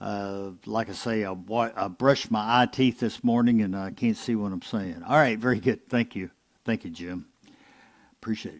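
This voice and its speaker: A man is speaking. He has a Southern US accent. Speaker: ham radio net control. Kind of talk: amateur radio net. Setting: radio broadcast. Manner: halting, many fillers.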